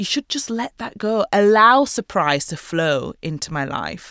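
A woman with a Yorkshire accent speaks at a fairly slow pace in a fairly high pitch, her tone bright and sharp with very wide pitch swings. The sound is dry and close with no echo, on a very clean recording with a silent background. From northern England, West Yorkshire (Mirfield near Leeds). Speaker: fashion designer and artist. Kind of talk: casual interview.

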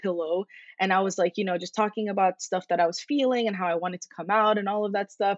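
With a Californian accent, a woman speaks at a medium pitch with fairly even intonation. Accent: American (Californian). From Egyptian family, Los Angeles. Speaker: psychotherapist. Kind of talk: casual interview.

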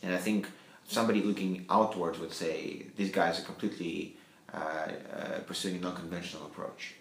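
At a moderate pace, a man with a non-native accent speaks in a very deep, low pitch with fairly even intonation. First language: not English. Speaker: company CEO. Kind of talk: interview.

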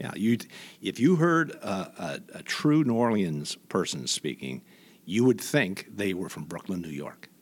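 Pitched fairly low, a man's voice swings very widely in pitch and shows big changes in loudness. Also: fairly slow pace. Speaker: retired news anchor and investigative journalist. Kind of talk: casual interview conversation. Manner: storytelling, conversational.

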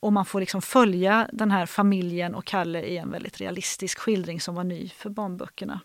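In a very clean recording with a silent background, a woman with a normal speaking voice talks at a medium pitch and moderate pace, her intonation fairly even but with big swings in loudness. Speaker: literature lecturer. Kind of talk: literary discussion.

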